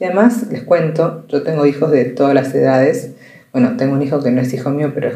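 There is audible room echo around a woman whose voice is very deep and low. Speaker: journalist and podcast host. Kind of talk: personal monologue. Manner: conversational.

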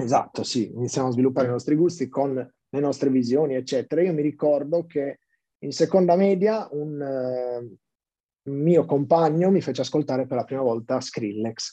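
Moving at a moderate pace, a man speaks in a dark, mellow tone at a fairly high pitch with ordinary pitch variation. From Sardinia, Sassari. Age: 20s. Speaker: music project founder. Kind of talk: podcast interview. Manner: halting, repeats words.

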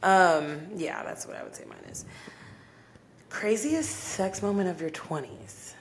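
A woman's fairly low voice with an American accent, very slow, with very wide pitch swings and long, frequent pauses. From Dallas-Fort Worth, Texas. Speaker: podcast co-host. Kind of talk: casual chat.

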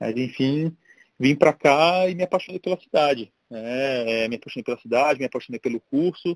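An unremarkable speaking voice from a man, fairly high in pitch with ordinary pitch variation, at a moderate pace in a dry, close sound with no echo. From Brasília, Brazil. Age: 40s. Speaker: entrepreneur and tech executive. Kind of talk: casual interview.

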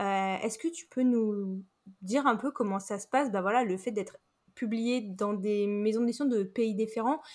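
Over a very clean recording with a silent background, a woman with a normal speaking voice talks at a moderate pace in a fairly high pitch. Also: ordinary pitch variation. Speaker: podcast host and writer. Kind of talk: interview.

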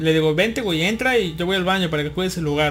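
A man at a fairly quick pace with a Mexican accent, high-pitched with ordinary pitch variation, over noticeable background noise. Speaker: podcast host. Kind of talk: casual chat. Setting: online live broadcast.

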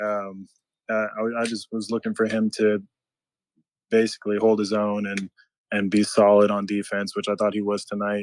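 In a very clean recording with a silent background, a man with a normal speaking voice and fairly low pitch talks at a moderate pace, the sound dry and close with no echo. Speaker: fan caller. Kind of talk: casual chat.

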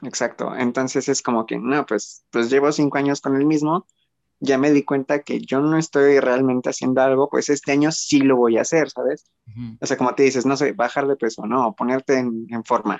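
Recorded with a dry, close sound and no echo, a man speaks at a moderate pace and medium pitch with fairly even intonation. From Mexico. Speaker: guest friend. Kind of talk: casual chat. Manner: halting with many fillers.

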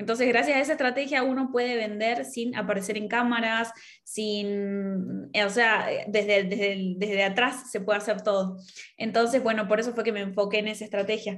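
A woman with a fairly high voice speaks at a moderate pace with fairly even intonation, and the room echo is audible. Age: 20s. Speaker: digital marketer. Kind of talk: interview.

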